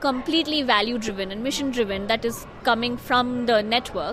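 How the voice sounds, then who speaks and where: With noticeable background noise behind her, a woman talks at a moderate pace in a high pitch with ordinary pitch variation. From India. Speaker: media program officer and marketing manager. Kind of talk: interview. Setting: journalism festival venue.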